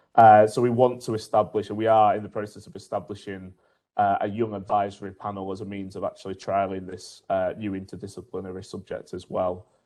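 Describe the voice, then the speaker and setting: A dark, mellow tone comes through in monotone, flat intonation over a quiet background. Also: man, fairly low pitch for a man. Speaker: university researcher in media and filmmaking education. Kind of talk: online panel discussion. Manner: hesitant, many fillers.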